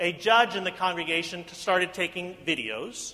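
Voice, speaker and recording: Here is a man with an American accent and a high pitch. His pitch variation is ordinary. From US Midwest. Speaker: pastor. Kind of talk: sermon. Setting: church.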